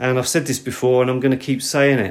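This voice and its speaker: Medium in pitch, a man speaks with a British accent. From Britain. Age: 50s. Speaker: podcast host. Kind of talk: solo podcast monologue. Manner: halting.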